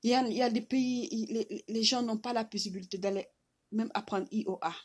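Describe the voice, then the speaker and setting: A woman with a fairly high, somewhat breathy voice and fairly even intonation is heard on a very clean recording with a silent background. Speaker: vlogger. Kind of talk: impassioned video message. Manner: halting, with repetitions.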